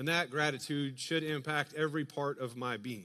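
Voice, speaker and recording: Against a quiet background, a man talks in a bright, sharp tone. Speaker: pastor. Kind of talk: sermon. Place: church.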